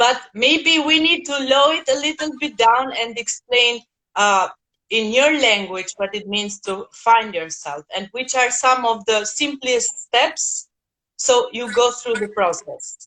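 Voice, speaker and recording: A woman speaks fairly slowly with a non-native accent and lively intonation. Her high-pitched voice has a bright, sharp tone. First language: not English. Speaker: host of an online talk series. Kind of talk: interview.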